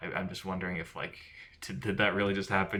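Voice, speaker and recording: This man's voice is very deep and low in pitch. It carries vocal fry. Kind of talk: film analysis commentary over slideshow. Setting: poor microphone.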